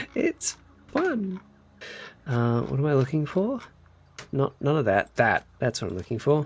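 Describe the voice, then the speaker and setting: Speaking with an Australian accent, a man goes at a fairly slow pace with long, frequent pauses, a fairly high pitch, very wide pitch swings and a somewhat breathy sound. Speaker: video game live streamer. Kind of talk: casual live-stream chat while gaming. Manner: animated, chatty.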